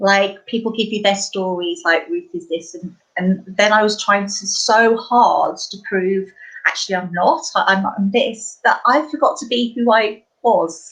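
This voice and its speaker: A woman speaks in an East Anglian accent at a fairly high pitch. Her pace is fairly slow and her intonation lively. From East Anglia, England. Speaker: life coach. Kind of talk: casual chat.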